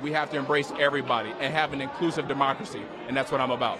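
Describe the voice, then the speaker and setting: Over noticeable background noise, a man talks very fast in an energetic tone. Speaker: political candidate. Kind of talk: interview. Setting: live watch party event. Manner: lowered voice.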